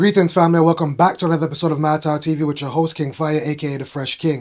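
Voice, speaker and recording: A man with a Brooklyn accent speaks very fast in a fairly high, flat monotone over noticeable background noise. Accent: New York (Brooklyn). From New York (Brooklyn). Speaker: fashion vlogger. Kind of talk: casual vlog commentary.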